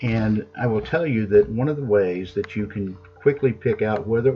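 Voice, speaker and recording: With music in the background, a man speaks at a fairly low pitch with ordinary pitch variation. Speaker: accounting professor. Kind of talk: lecture. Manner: fast.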